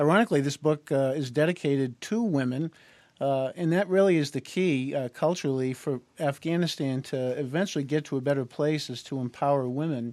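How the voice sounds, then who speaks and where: In a very clean recording with a silent background, a man with a plain, everyday voice talks at a fairly high pitch and a fairly quick pace. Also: ordinary pitch variation. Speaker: retired Marine officer and co-author. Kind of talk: radio interview.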